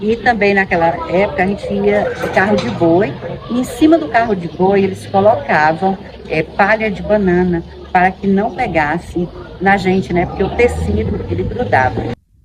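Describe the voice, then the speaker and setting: Noticeable background noise sits behind a woman speaking at medium pitch. She keeps a moderate pace with lively intonation. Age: 50s. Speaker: teacher giving testimony. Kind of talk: testimony.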